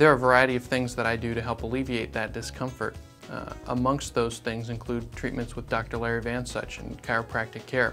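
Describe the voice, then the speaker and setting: Music plays in the background as a man talks at medium pitch with ordinary pitch variation. His pace is fairly quick, with hardly any pauses. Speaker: surgeon. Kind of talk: testimonial.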